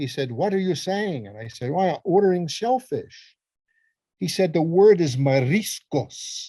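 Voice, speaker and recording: A high-pitched man with an Italian accent and a dark, mellow tone, fairly slow, with very wide pitch swings and big swings in loudness, in a quiet background. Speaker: psychologist and lecturer. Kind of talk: casual chat. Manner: repeats words, false starts.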